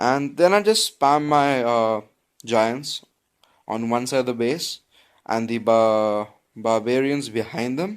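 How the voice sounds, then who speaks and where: With an Indian accent, a man talks at a very slow pace and medium pitch, leaving long, frequent pauses and using ordinary pitch variation. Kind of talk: casual gameplay commentary. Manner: casual, chatty.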